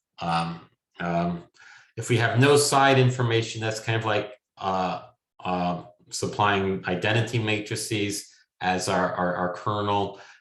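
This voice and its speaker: Audible room echo surrounds a man's fairly low-pitched voice. His intonation stays fairly even. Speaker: machine learning academic. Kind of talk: lecture. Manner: halting, many fillers.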